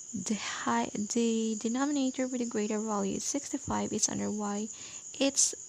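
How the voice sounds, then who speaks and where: A woman's fairly high voice moves at a moderate pace, its intonation fairly even, with noticeable background noise behind it. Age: young. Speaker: student math tutor. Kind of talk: tutorial.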